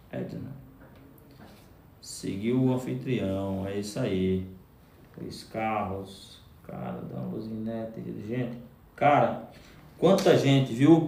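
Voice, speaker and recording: Amid audible room echo, a man speaks at a very slow pace with long, frequent pauses and lively intonation. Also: medium pitch for a man, big swings in loudness. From Brazil, Pernambuco (Northeast). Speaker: live streamer, business coach. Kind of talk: live stream chat with viewers. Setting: live stream. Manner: animated.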